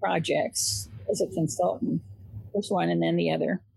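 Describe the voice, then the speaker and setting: A woman talking at a fairly slow pace. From US West Coast, southern Oregon. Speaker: physician assistant educator. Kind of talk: interview.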